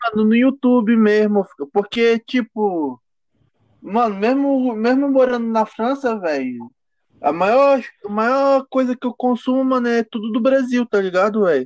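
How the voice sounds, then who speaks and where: An extremely high-pitched man's voice with ordinary pitch variation and a dry, close sound with no echo. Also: fairly slow pace. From Brazil. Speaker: amateur rapper. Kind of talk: casual chat.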